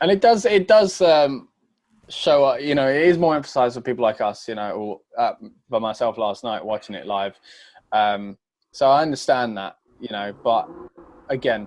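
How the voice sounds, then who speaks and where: A man with a British accent talks at a medium pitch, his voice swinging very widely in pitch. He leaves long, frequent pauses against a quiet background. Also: moderate pace, big swings in loudness. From Britain. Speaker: wrestling podcast host. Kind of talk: casual chat.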